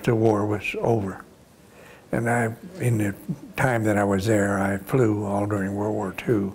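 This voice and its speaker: A man in an American accent with monotone, flat intonation, at a fairly slow pace, with noticeable background noise. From US South, Florida. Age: 80s+. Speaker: war veteran. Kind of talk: oral history interview. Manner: halting.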